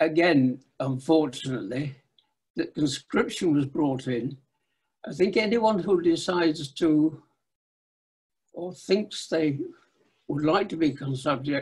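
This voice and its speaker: A man's fairly high voice at a fairly slow pace, lively in intonation, broken by long, frequent pauses. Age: 90s. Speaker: war-era conscientious objector. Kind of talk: personal testimony talk.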